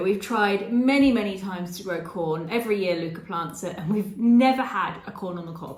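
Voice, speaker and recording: A woman talks with an English accent. Noticeable background noise and audible room echo surround her voice. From England. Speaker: travel vlogger. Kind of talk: casual Q&A monologue.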